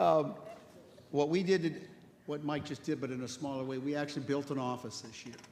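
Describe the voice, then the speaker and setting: A man talks at a fairly quick pace with a fairly high pitch and ordinary pitch variation. His loudness swings widely, and room echo is audible. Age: 70s. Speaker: home inspection business owner. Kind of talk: workshop audience sharing.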